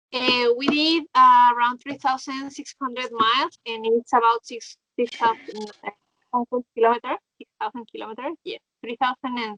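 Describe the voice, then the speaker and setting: A bright, sharp voice with a Mexican accent, moderate pace, ordinary pitch variation and big swings in loudness, recorded dry and close with no echo. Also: woman. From Mexico. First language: Spanish. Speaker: motorcyclist. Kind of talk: interview.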